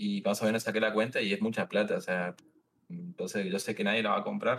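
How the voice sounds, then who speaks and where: A man's fairly low voice with lively intonation. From Misiones, Argentina. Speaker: streamer and railway worker. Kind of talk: casual chat. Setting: video call livestream.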